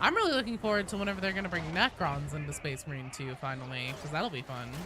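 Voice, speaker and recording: A woman with a very deep, low pitch and very wide pitch swings at a very fast pace, over music in the background. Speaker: gaming streamer. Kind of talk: casual chat. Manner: casual, rambling.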